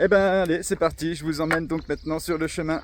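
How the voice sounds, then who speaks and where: The speaker is a man. His pitch is fairly high. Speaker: travel vlogger on a walking trip. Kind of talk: vlog narration while hiking. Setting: outdoors. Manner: animated.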